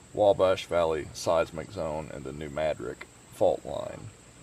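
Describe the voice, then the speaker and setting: A man is talking. He speaks with a Southern Illinois accent. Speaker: hiking YouTuber and emergency management specialist. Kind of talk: casual interview.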